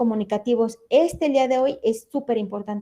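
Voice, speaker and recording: A woman's dark, mellow tone, fairly high in pitch, at a fairly quick pace with ordinary pitch variation, over a quiet background. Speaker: forensic expert instructor. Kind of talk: lecture.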